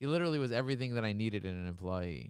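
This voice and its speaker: A man's fairly low voice with a New York accent, an animated tone and ordinary pitch variation. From Brooklyn, New York. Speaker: podcast host and entrepreneur. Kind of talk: casual interview chat. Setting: live-streamed video call. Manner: fast, animated.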